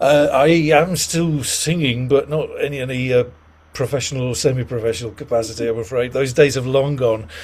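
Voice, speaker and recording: Somewhat breathy and at a fairly quick pace, a man talks at a medium pitch with ordinary pitch variation. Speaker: patient expert speaker. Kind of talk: online group discussion.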